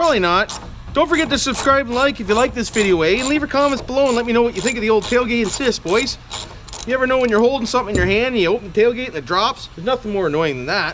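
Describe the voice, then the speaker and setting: A man's extremely high pitch at a very fast pace, over light background noise. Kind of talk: casual tutorial vlog. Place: garage. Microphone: camera far.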